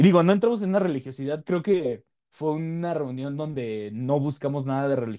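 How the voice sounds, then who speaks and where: With a Mexican accent, a man speaks in a dark, mellow tone at a fairly high pitch, his intonation lively. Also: fairly quick pace. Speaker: podcast host. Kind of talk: casual chat.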